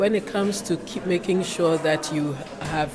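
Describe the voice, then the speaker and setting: Amid noticeable background noise and audible room echo, a woman with a very deep, low pitch speaks at a fairly slow pace with ordinary pitch variation. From Ghana. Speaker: engineer, professional association leader. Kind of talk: interview. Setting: conference.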